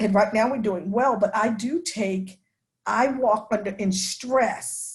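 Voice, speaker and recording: In a very clean recording with a silent background, a woman with an American accent speaks in a fairly high, somewhat breathy voice with ordinary pitch variation. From New York, Long Island. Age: 60s. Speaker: denominational ministry executive. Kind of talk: class discussion talk.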